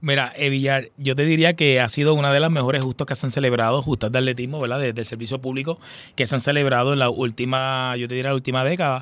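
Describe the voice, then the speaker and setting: A man races along at a very fast pace on a very clean recording with a silent background. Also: medium pitch for a man. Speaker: sports supervisor. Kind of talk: radio interview. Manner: animated, repetitive fillers.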